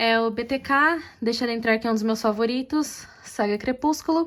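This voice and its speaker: A woman's high voice moves at a fairly slow pace, its pitch varying in an ordinary way. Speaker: booktuber. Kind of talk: casual vlog. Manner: soft-spoken.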